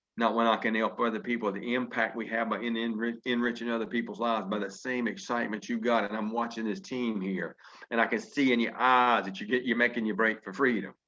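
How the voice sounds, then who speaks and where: Hardly pausing at all, a man speaks at a very fast pace. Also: medium pitch for a man. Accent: Southern US. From Virginia. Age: 50s. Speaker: network marketing leader. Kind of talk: motivational speech. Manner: animated.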